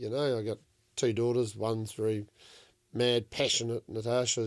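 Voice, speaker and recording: A man with a New Zealand accent talks at a moderate pace and a medium pitch. The recording is very clean, with a silent background. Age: 60s. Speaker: commercial fishing skipper. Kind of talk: casual chat.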